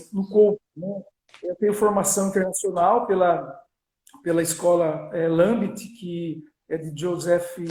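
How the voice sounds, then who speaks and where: With a strong São Paulo interior accent, a high-pitched man speaks at a fairly slow pace in fairly even intonation, his loudness swinging widely. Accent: strong Piracicaba. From Brazil, Piracicaba (São Paulo state). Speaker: business coach and lecturer. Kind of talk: live-stream interview. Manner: halting, many fillers.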